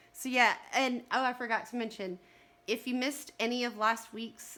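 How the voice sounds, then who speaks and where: In a Texas accent, a woman speaks at a moderate pace. Her voice has a fairly high pitch and a bright, sharp tone. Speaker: livestream co-host. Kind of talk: casual chat. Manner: talkative.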